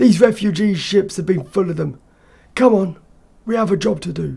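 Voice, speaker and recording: Putting on a character voice, a man speaks at a high pitch at a moderate pace, raspy and with lively intonation. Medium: read story. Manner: terse, matter-of-fact.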